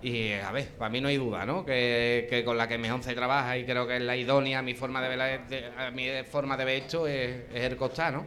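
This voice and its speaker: There is audible room echo as a man talks with monotone, flat intonation. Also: medium pitch for a man, moderate pace. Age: 30s. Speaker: costalero. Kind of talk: live panel discussion. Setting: live in a bar with audience.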